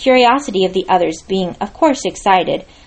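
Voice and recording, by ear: Reading aloud in a natural voice is what the clip contains.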